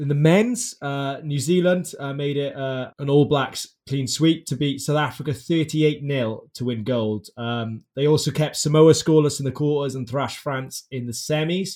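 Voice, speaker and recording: A man with a Welsh accent talks at a moderate pace in a fairly high pitch, with hardly any pauses. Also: ordinary pitch variation. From Wales. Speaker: podcast host. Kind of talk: casual chat.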